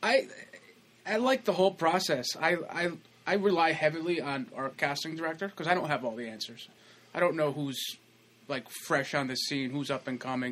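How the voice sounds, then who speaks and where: This man's voice has a bright, sharp tone and a fairly high pitch. His intonation is lively. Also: moderate pace. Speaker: actor. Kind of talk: casual chat. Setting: studio. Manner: jokey, laughs often.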